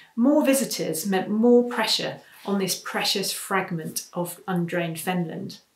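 A woman speaks against a quiet background. Audible room echo is present. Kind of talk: prepared talk. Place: home room. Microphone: webcam.

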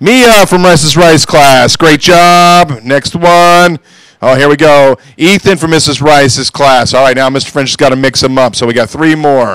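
The speech is fairly slow, with ordinary pitch variation. The sound is dry with no echo, over a quiet background. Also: man, fairly high pitch for a man. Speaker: school staff member. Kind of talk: school announcements. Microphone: handheld.

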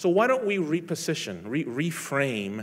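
Very wide pitch swings run through this man's speech. He talks at a fairly slow pace. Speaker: police lieutenant; speaker. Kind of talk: inspirational talk. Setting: stage with audience. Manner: halting. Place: hall.

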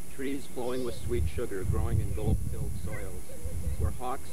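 Loud background noise surrounds a man speaking at a moderate pace. The sound itself is dry, with no echo. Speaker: speaker. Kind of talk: formal speech. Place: open country.

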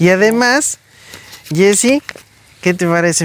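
The man's voice has a dry sound with no echo. He speaks at a moderate pace with ordinary pitch variation. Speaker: visiting benefactor or host. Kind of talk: warm conversational talk to a child. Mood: warm, encouraging.

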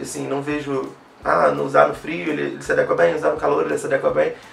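The man talks at a fairly quick pace. Audible room echo and light background noise are present. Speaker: perfume reviewer YouTuber; fragrance reviewer. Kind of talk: product review. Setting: home video recording, night, artificial light. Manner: stammering, repeats words. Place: home room.

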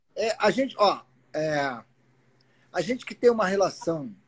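This man's high voice moves through very wide pitch swings. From Rio de Janeiro, Brazil. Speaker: guest. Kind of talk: casual live-stream chat. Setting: video live stream. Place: garden. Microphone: phone near.

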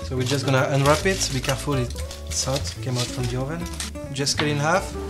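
The man speaks at a moderate pace. Music plays clearly in the background. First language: French. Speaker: chef. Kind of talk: cooking demonstration. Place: kitchen. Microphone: camera far.

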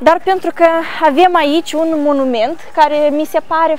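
A woman talks at a fairly slow pace in a dry sound with no echo. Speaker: tour guide. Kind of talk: tour guide commentary. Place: street.

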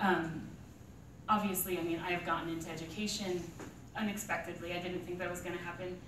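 A woman with a fairly low voice speaks at a very fast pace yet leaves long, frequent pauses, her intonation monotone and flat. Noticeable background noise and audible room echo surround her. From northeastern Montana. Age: 20s. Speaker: writer. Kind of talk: informal talk to small audience. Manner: halting. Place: meeting room. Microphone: camera far.

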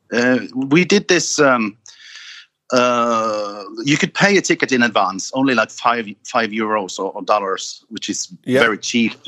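A man with a Norwegian accent, bright, sharp tone and lively intonation, at a fairly slow pace. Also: medium pitch for a man, dry, close sound with no echo. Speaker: singer in a metal band. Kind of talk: casual interview.

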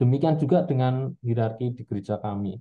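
Over a quiet background, a man's somewhat breathy voice holds a medium pitch with ordinary pitch variation. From Central Java, Indonesia. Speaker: audience member. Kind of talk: question in discussion. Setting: video call. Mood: calm, reflective concern. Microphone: video call.

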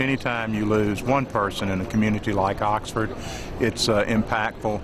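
A man talks at a fairly slow pace with fairly even intonation. The sound is dry with no echo, though background noise is noticeable. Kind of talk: interview answer. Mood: somber, grieving. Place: hall.

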